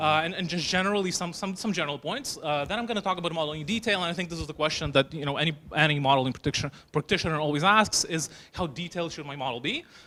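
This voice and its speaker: A man with a fairly high pitch talks at a very fast pace, his pitch varying in an ordinary way. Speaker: financial analyst. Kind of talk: lecture. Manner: hesitant with fillers and repetitions.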